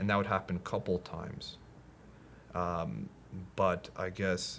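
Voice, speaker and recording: With a very deep, low pitch and fairly even intonation, a man speaks at a fairly slow pace. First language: Polish. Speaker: podcast guest sharing personal story. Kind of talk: personal conversation, testimony. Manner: halting, hesitant.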